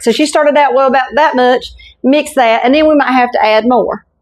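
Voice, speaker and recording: Someone speaks with a Southern US accent over a quiet background. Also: woman. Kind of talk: casual cooking talk to camera. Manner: folksy, warm.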